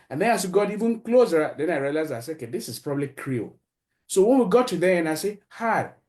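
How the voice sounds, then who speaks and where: With a West African accent, a man talks very fast, his pitch swinging very widely. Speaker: podcast host and columnist. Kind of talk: interview.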